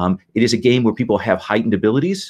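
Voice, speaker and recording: A man speaks with an Indiana accent. The background is quiet. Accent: Hoosier. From Indiana, US Midwest. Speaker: game master. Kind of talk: game session briefing. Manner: halting, many fillers.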